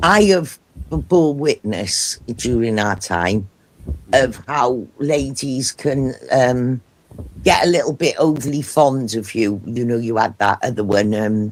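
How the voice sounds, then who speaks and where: Speaking at a very slow pace, a man with a Cardiff accent uses lively intonation. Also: medium pitch for a man. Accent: Welsh, Cardiff. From Wales, Cardiff. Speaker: live streamer. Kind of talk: casual chat.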